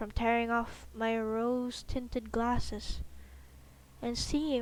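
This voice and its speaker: A soft-spoken woman at a fairly high pitch and a very slow pace. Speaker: streamer reading horror stories. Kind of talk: casual chat; reading aloud.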